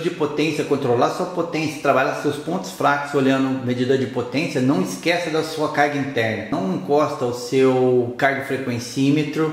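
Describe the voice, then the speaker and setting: Clearly audible background noise mixes with audible echo from the room. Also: man. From Brazil. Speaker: sports training coach. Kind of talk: lecture.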